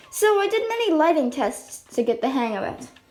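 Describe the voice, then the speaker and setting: Background music behind a woman's moderate pace. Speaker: amateur animator. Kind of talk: casual vlog update. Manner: loud. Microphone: no mic, device built-in.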